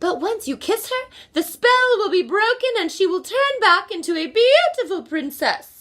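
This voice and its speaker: A woman puts on a character voice at an extremely high pitch. She keeps a moderate pace with hardly any pauses. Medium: read story.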